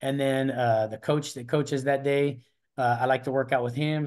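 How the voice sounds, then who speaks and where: At a moderate pace, a man uses a normal speaking voice with a fairly high pitch and fairly even intonation. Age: 60s. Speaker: masters athlete, retired corrections officer. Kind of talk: interview answer.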